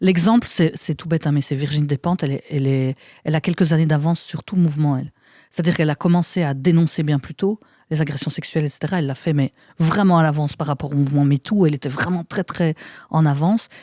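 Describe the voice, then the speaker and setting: This woman has a very deep, low pitch and a dark, mellow tone. She talks at a very fast pace in a dry, close sound with no echo. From Belgium, province of Luxembourg. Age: 40s. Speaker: actress and author. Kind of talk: casual chat. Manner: halting; animated.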